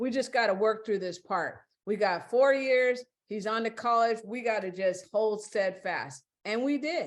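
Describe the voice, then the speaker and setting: A woman with a plain, everyday voice talks fairly slowly, her pitch fairly high and its variation ordinary. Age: 60s. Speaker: podcast guest. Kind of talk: casual interview chat.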